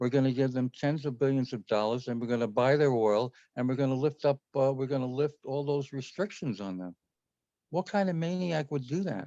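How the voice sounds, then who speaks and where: This man has a dark, mellow tone and medium pitch, speaking fairly quickly in an American accent with ordinary pitch variation. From New York. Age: 70s. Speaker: playwright and filmmaker. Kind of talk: casual chat.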